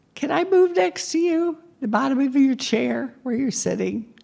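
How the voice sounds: High-pitched put-on character voice at a moderate pace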